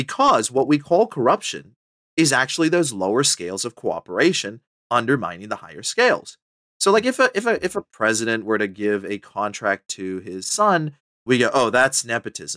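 A man's voice swings very widely in pitch, with a bright, sharp tone. The sound is dry and close with no echo, on a very clean recording with a silent background. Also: medium pitch for a man, moderate pace. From Botswana. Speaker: professor. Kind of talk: casual chat.

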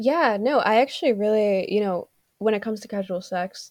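At a moderate pace, a woman with an ordinary speaking voice and a fairly high pitch talks with lively intonation. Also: dry, close sound with no echo. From Canada. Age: 20s. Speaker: TikTok creator and writer. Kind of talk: casual interview chat. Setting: video call. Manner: articulate.

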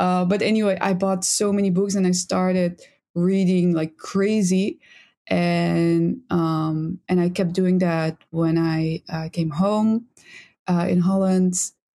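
A woman with a Dutch accent speaks very slowly at a medium pitch, her tone dark and mellow, her intonation monotone and flat, and her loudness very even. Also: very clean recording, silent background. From Netherlands. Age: 20s. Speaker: psychology student. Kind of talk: casual chat.

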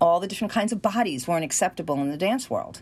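In a New York accent, a woman speaks at a fairly low pitch with very wide pitch swings. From New York, Queens. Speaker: acting coach. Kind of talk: interview. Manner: animated.

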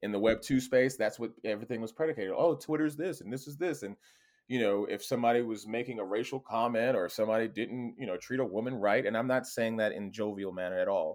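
A man talks at a very fast pace in a medium pitch. The recording is very clean, with a silent background. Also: ordinary pitch variation. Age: 40s. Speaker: cyber security consultant, ex intelligence operative. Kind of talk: interview.

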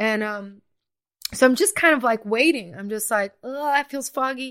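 Very cleanly recorded over a silent background, a woman with an American accent talks at a moderate pace in a high voice with lively intonation. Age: 40s. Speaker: singer-songwriter and former teacher. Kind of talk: casual chat.

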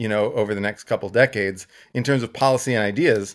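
A plain, everyday voice with an American accent moves at a fairly quick pace with ordinary pitch variation on a very clean recording with a silent background. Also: man. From Texas. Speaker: economist and blogger. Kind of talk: casual interview.

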